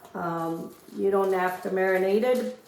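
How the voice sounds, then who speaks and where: A woman speaks at a very slow pace. There is audible room echo. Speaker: cooking show host. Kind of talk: cooking tutorial. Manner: casual, hesitant with fillers.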